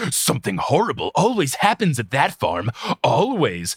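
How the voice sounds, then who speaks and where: Putting on a character voice, a man swings his fairly high pitch very widely at a moderate pace. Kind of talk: dramatic. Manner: ominous.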